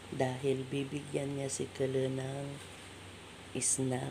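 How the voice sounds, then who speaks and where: A soft-spoken voice comes through noticeable background noise. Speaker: domestic worker vlogger. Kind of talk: casual vlog narration. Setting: employer's home. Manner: soft-spoken, lowered voice.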